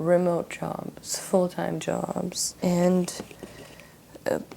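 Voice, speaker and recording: A woman with a Russian accent. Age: young. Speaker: vlogger. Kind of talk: casual vlog monologue while painting.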